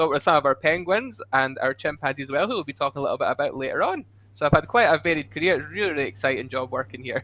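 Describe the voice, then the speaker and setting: With a Scottish accent, a man races along very fast at a fairly high pitch, intonation lively and hardly any pauses. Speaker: zoo education ranger, former zookeeper. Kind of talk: casual livestream interview.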